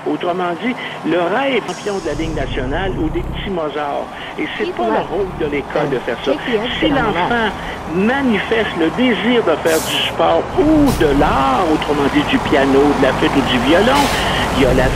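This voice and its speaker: Noticeable background noise and audible room echo surround a man with a Quebec accent. His high-pitched voice moves at a moderate pace with very wide pitch swings. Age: 70s. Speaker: radio panelist. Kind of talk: heated debate.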